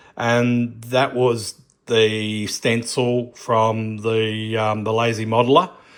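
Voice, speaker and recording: Very clean, with a silent background, the recording has a man speaking at medium pitch and a very slow pace. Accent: Australian. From Australia. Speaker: scale model builder. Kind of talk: tutorial. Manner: casual, rambling with fillers.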